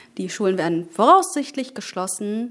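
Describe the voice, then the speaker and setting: A woman speaks at a fairly slow pace. Her voice carries vocal fry. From Germany, Berlin. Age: 20s. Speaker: politician. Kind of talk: interview.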